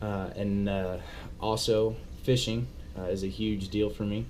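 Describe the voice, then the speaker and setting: A man speaks fairly slowly in a fairly low pitch with ordinary pitch variation. Room echo is audible. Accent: Texan. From Texas (Abilene). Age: 20s. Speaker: vlogger, hunting guide. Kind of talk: casual self-introduction vlog. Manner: halting, many fillers.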